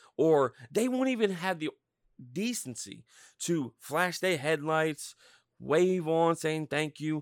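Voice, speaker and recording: A man with an unremarkable speaking voice, fairly high-pitched, talks at a fairly slow pace with lively intonation in a very clean recording with a silent background and a dry, close sound with no echo. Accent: American. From Norristown, Pennsylvania. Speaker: podcast host.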